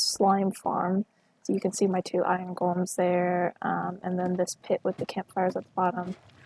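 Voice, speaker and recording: Her medium pitch and dark, mellow tone come through as this woman speaks at a moderate pace with an American accent. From US. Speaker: gaming video creator. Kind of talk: gameplay walkthrough. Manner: casual, many filler ums.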